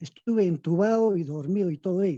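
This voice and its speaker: A man talks at a moderate pace in a high-pitched voice with a dark, mellow tone and ordinary pitch variation. The sound is dry and close, with no echo. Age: 60s. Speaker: webinar participant asking a question. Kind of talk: live Q&A question.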